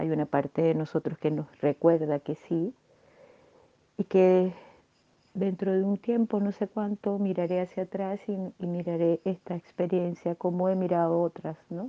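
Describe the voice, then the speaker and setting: The speaker is a woman with a fairly low pitch. She talks fairly slowly. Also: fairly even intonation. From Venezuela. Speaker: podcast host. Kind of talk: personal reflection monologue. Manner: subdued, less cheerful than usual; halting, many fillers.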